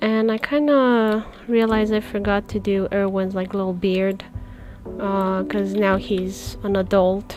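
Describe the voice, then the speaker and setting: Soft-spoken and fairly slow, a woman with a non-native accent talks at a medium pitch with fairly even intonation while music plays behind her. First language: not English. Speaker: comic artist streamer. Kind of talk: live stream commentary while drawing. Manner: low energy.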